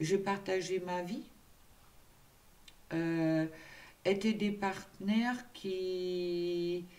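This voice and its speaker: Against audible room echo, a woman talks very slowly at a medium pitch with fairly even intonation and long, frequent pauses. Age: 60s. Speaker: tarot card reader and spiritual coach. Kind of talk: tarot reading guidance. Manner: hesitant with many fillers.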